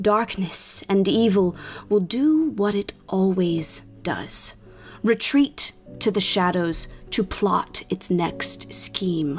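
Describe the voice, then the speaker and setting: Clear music plays in the background as a woman does a booming, put-on character voice at a medium pitch. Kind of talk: epic fantasy oration. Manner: solemn, grave, prophetic.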